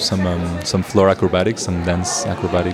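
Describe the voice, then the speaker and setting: Music plays behind a man whose voice carries audible room echo. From Portugal. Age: 20s. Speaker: circus student, hand balancer. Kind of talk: interview. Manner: halting.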